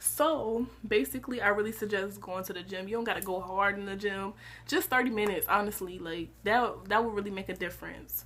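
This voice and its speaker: A woman talks at a fairly quick pace and medium pitch with ordinary pitch variation and vocal fry. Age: young. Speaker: college student vlogger. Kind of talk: casual advice vlog. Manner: animated, conversational.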